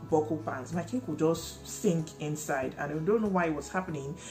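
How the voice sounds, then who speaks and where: Clear music plays behind a woman whose pitch is very deep and low, with ordinary pitch variation. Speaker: home baker vlogger. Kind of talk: casual vlog chat. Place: home room.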